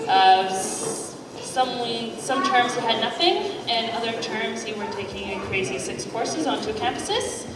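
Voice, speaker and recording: With music behind her and audible room echo, a woman speaks in a fairly high pitch with lively intonation. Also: moderate pace. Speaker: chemistry professor. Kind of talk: interview on stage. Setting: lecture hall event with audience, mic'd. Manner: loud.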